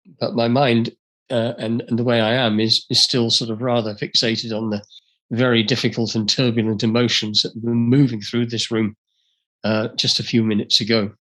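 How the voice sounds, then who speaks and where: He speaks with an English accent at a medium pitch. His delivery is monotone and flat, at a moderate pace. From England. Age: 70s. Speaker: speaker and author. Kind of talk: talk to an audience. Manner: halting.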